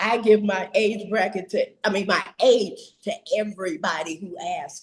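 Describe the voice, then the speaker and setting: A woman speaks at a moderate pace in a medium pitch, her voice somewhat breathy, with ordinary pitch variation and big swings in loudness. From Chicago, west side. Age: 70s. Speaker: interview guest, retiree living abroad. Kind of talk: interview.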